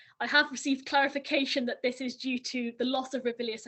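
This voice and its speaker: A woman's high voice, very fast, with fairly even intonation. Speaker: museum assistant. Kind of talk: presentation. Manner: halting.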